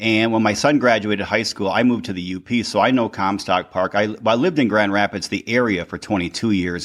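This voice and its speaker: A man with an American accent speaks at a fairly quick pace in a fairly low voice. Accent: Michigan accent, stronger lately. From Upper Peninsula of Michigan. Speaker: podcast host and life coach. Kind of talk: interview.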